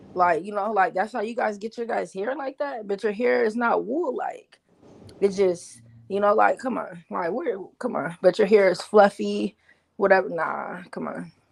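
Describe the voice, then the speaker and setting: Speaking at a moderate pace, a woman with a medium pitch uses lively intonation and some vocal fry. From Seattle, US Pacific Northwest. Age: 40s. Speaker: commentator. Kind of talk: casual chat. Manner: halting, many repeats.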